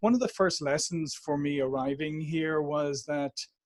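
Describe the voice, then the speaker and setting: Recorded with a dry, close sound and no echo, a man with an Irish accent speaks at a fairly high pitch. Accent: Irish, warm. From Ireland, Dublin. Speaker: sales and marketing executive. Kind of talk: podcast interview.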